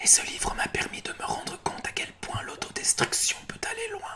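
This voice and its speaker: A man's whisper moves at a fairly slow pace while noticeable background noise carries on. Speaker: booktuber. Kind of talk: ASMR reading of subscribers' testimonies. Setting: home recording, bedroom. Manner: soft-spoken.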